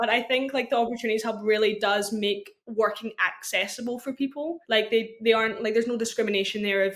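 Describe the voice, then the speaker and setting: A woman with a Scottish accent speaks at a fairly quick pace in a fairly high voice. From Scotland. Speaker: university student and social media intern. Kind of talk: casual podcast chat.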